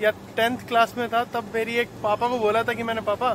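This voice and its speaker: A man speaks at a fairly slow pace in a high voice. The sound is dry with no echo, though background noise is noticeable. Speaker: travel vlogger. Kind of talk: casual vlog chat. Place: station. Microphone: phone near.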